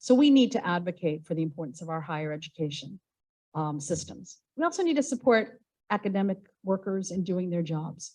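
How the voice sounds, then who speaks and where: With an American accent, a woman talks at a fairly quick pace in a medium pitch, her tone dark and mellow, somewhat breathy, and her intonation lively. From United States. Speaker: university professor and researcher. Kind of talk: conference presentation.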